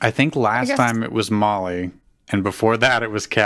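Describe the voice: The reading aloud is plain, and its pitch moves in an ordinary way.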